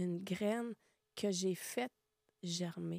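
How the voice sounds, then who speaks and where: Dry and close with no echo, a woman with a Quebec accent speaks very slowly in a dark, mellow tone with fairly even intonation. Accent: Québécois French. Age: 60s. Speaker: podcast guest sharing life story. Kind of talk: testimony.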